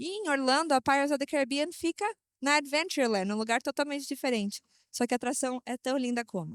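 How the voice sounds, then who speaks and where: Very fast and animated, a woman speaks in a high voice with ordinary pitch variation, recorded dry and close with no echo against a very clean, silent background. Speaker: travel industry presenter. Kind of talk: trade show presentation.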